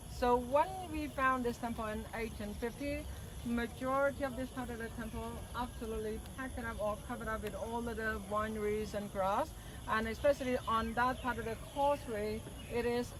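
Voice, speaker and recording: At a moderate pace, a woman talks in a fairly high voice, with audible room echo and noticeable background noise. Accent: Cambodian. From Cambodia. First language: Khmer. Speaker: tour guide. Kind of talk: guided tour explanation. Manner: halting.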